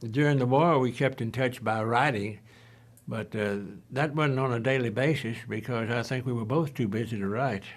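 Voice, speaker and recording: Fairly even intonation at a moderate pace, in a Southern US accent. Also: man, medium pitch for a man. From Tennessee. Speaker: WWII veteran. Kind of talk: interview testimony. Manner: halting.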